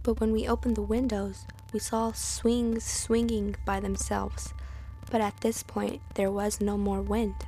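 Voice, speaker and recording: A woman's fairly slow speech at very even loudness, with music in the background. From Santa Fe, New Mexico. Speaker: podcast host and storyteller. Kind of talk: ghost story telling, spooky personal anecdote. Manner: hushed, suspenseful.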